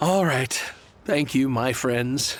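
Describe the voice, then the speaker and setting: Raspy and at medium pitch, a man's voice takes on a put-on character. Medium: video game. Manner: courteous, sentimental.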